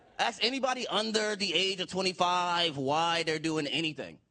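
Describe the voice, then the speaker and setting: Projecting a raised voice, a man speaks with a bright, sharp tone and ordinary pitch variation. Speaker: stand-up comedian. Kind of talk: live stand-up comedy set. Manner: profane, exasperated.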